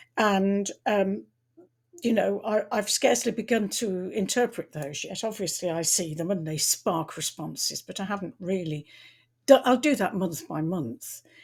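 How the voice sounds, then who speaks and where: In a very clean recording with a silent background, a woman of medium pitch speaks at a moderate pace, somewhat breathy and with lively intonation. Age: 70s. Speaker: tarot reader and astrologer. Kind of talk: casual talk to camera. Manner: halting, with repetitions.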